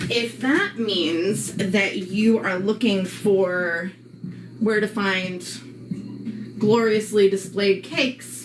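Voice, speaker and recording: This woman has an American accent and a medium pitch with ordinary variation. She talks at a very slow pace over music in the background. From New York, Long Island. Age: 40s. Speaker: live streamer. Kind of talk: casual live-stream chat. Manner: loud; chatty, with fillers.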